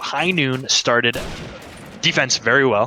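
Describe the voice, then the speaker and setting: A man speaks quietly over noticeable background noise. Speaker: esports caster. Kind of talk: live commentary. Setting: at home.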